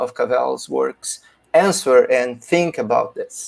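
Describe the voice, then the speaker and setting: A man speaks in a Portuguese accent. His pace is very slow. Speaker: philosophy teacher presenting a paper. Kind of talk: academic conference talk. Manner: halting, many fillers.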